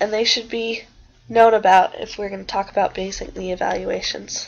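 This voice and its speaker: A woman's fairly quick speech comes through with noticeable noise behind it. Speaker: student teacher. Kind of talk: lecture.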